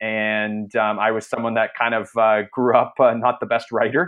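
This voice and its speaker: A man with a Canadian accent speaks in a plain, everyday voice at a moderate pace, with a medium pitch and fairly even intonation. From Canada. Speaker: entrepreneur, former junior hockey player. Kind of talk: casual interview. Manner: many fillers and repetitions.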